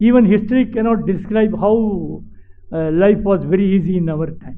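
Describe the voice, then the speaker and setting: A man's high voice at a moderate pace, ordinary pitch variation, audible room echo. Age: 90s. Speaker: retired civil servant. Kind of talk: speech to students. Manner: halting.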